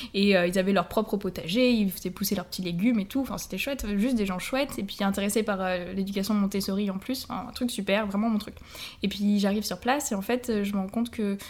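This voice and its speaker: Somewhat breathy speech rushes by at a very fast pace with fairly even intonation. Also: woman, medium pitch for a woman. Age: 20s. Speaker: English and French teacher. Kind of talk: travel storytelling.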